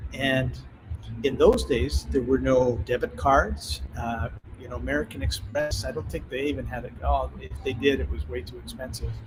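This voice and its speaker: With music in the background, a man with a Canadian accent speaks at a moderate pace in a very deep, low pitch, with very wide pitch swings and big swings in loudness. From Canada. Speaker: author and entrepreneur. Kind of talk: interview storytelling. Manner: animated.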